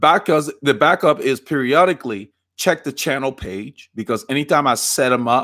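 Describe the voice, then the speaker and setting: On a very clean recording with a silent background, a man speaks with a Liberian accent. His intonation is lively and his pace moderate. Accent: Liberian, island-like twang. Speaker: cycling coach and bike fitter. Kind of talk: live stream Q&A. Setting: live stream.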